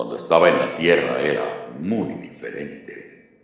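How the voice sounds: A man performs a raspy, put-on character voice with strong echo around it.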